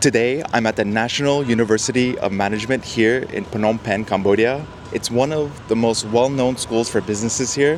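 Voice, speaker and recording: A man with a New Jersey accent talks in an animated tone at medium pitch with ordinary pitch variation over noticeable background noise. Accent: American, New Jersey. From US, New Jersey. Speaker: travel vlogger. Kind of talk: casual vlog and street interview. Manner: friendly, animated.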